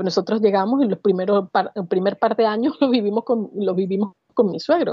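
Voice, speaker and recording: A woman's medium-pitched, fairly quick delivery in a plain, everyday voice, with ordinary pitch variation. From Venezuela, Barquisimeto. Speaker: advertising professional. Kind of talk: interview conversation.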